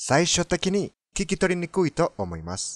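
A man with a non-native accent speaks at a fairly slow pace in a fairly high voice, his pitch swinging very widely, with a dry, echo-free sound and a quiet background. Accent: foreign accent in Japanese. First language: Spanish (speaking Japanese). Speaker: language teacher. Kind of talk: tutorial. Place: car. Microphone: phone near.

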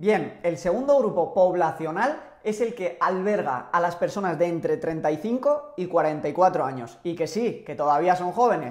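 Speaking at a moderate pace with few pauses, a man uses lively intonation and a high pitch.

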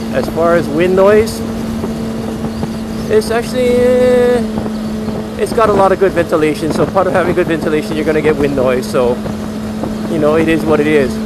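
Fairly quick delivery over loud background noise, the sound dry and echo-free. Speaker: motovlogger. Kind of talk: casual vlog chat. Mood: upbeat, enthusiastic. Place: motorbike. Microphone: helmet.

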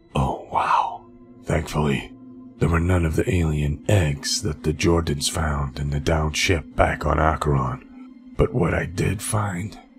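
Over clear background music, a man speaks at a fairly slow pace in a very deep, low voice. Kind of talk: first-person audio comic narration. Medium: audio drama. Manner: reflective, weary, quietly awed.

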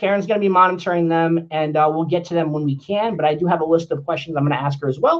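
Against a quiet background, a man with a high pitch for his sex speaks at a very fast pace. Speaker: livestream host interviewer. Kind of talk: livestream host chat. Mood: upbeat, friendly. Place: home room. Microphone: studio mic.

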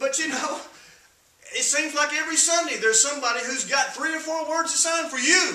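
Strong room echo surrounds a man with an extremely high pitch. His tone is bright and sharp, at a moderate pace. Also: ordinary pitch variation.

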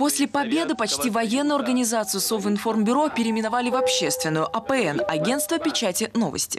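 With music in the background, a woman with a fairly high pitch speaks in very wide pitch swings at very even loudness, with hardly any pauses. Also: fairly quick pace. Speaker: TV news correspondent. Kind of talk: TV news report voice-over.

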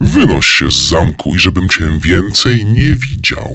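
A man's put-on character voice, growling and very deep in pitch. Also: moderate pace. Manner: threatening, growling.

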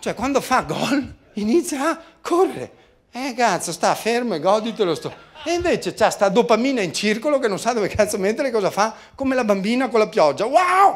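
At a moderate pace, a man talks in an animated tone with an extremely high pitch and very wide pitch swings. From Veneto, Italy (Treviso); Veneto, Italy. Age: 50s. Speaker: motivational speaker and communication trainer; motivational speaker, communication trainer. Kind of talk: seminar talk. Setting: stage with audience. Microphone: handheld.

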